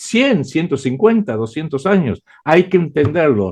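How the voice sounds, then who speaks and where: A man is talking. His pitch rises and falls across a very wide range. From Argentina. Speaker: writer and geopolitical analyst. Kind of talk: interview. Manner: hesitant with frequent fillers.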